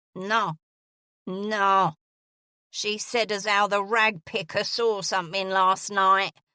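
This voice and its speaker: In a put-on character voice, a woman with a gravelly, medium-pitched sound speaks at a very slow pace in a monotone, flat intonation with long, frequent pauses, on a very clean recording with a silent background and a dry, close sound with no echo. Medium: read story. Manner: blunt, impatient.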